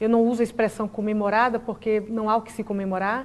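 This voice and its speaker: Using a Bahian accent, a woman talks at a very fast pace with a fairly high pitch and monotone, flat intonation. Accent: Bahian Brazilian Portuguese. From Brazil, Bahia. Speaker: public prosecutor. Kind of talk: TV interview. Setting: TV studio, live broadcast. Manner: formal.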